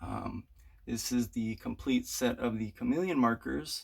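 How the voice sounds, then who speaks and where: A man's shaky voice at a medium pitch and moderate pace, in a very clean recording with a silent background. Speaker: artist showing his art room. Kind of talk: room tour video. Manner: halting, many filler words.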